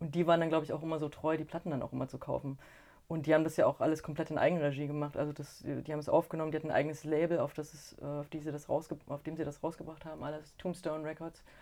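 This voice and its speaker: Speaking at a very fast pace, a woman with a very deep, low pitch and a dark, mellow tone keeps a monotone, flat intonation while her loudness swings widely. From Chemnitz, Saxony (eastern Germany). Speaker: book designer and co-editor. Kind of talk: interview.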